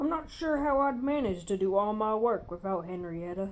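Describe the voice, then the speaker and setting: Through clear background noise, a female-sounding voice at a medium pitch performs a put-on character voice at a moderate pace. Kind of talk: fan parody dub. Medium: fan dub. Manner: hesitant.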